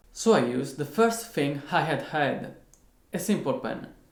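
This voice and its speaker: A man speaks at a moderate pace with lively intonation. Room echo is audible. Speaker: guitarist, online music teacher. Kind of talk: tutorial. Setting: at home.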